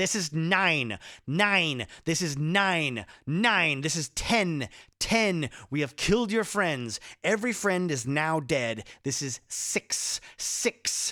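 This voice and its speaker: Using a put-on character voice, a man speaks raspy and fairly high with very wide pitch swings at a very slow pace, on a very clean recording with a silent background. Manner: cold, empty, menacing, counting out numbers.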